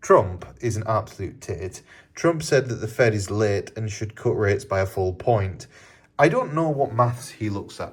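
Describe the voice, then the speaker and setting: A man with a British accent speaks quietly and somewhat breathily. The recording is very clean, with a silent background. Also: medium pitch for a man, ordinary pitch variation, moderate pace. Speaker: crypto trading youtuber. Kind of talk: casual market commentary to camera. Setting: hotel room. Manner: kept quiet, voice lowered.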